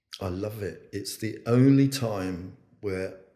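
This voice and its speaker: A man speaks very slowly in a fairly low, dark, mellow voice that is somewhat breathy. His pitch varies in an ordinary way. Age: 70s. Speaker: chief executive of an early years charity. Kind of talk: casual chat. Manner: halting.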